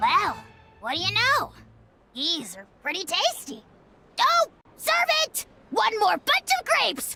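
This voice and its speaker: This is a put-on character voice. The speech has long, frequent pauses. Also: fairly slow pace. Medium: video game. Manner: boastful, theatrical.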